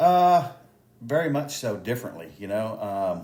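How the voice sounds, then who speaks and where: A man talks with a Texan accent. His intonation is lively. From Texas, Houston area. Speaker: police officer and election candidate. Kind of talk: interview. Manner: halting, many fillers.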